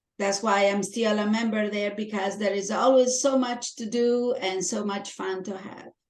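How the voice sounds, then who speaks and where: With a strong Italian accent, a woman speaks at a medium pitch and a moderate pace. Her intonation is fairly even, and she hardly pauses. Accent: heavy Italian. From Italy. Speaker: Toastmasters club member. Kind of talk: interview.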